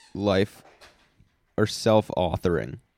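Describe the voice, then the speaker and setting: A man speaks with a fairly low pitch and a dark, mellow tone. The sound is dry and close, with no echo. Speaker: podcast co-host. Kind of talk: casual chat. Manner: slow.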